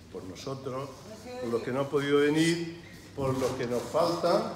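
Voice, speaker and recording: Ordinary pitch variation at a fairly slow pace, with audible room echo and noticeable background noise. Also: man. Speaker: event host giving a toast. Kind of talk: toast speech. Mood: solemn, reflective. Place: hall. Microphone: camera far.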